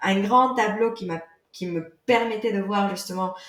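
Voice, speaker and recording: Fairly slow speech from a woman at medium pitch, amid audible room echo. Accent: non-native. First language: not French (speaking French). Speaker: yoga teacher and author. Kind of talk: podcast interview.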